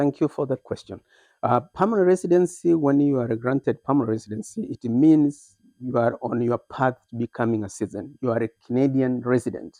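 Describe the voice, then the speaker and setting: A man talks at a fairly quick pace with a dark, mellow tone at a medium pitch and ordinary pitch variation. The sound is dry and close, with no echo. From Kenya. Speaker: immigrant, former teacher, moving company owner. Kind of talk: interview.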